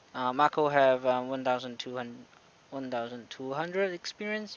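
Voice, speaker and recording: A man with a non-native accent speaks at a fairly high pitch for a man, with ordinary pitch variation. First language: not English. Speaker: gaming youtuber. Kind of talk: gameplay commentary. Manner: hesitant, many fillers.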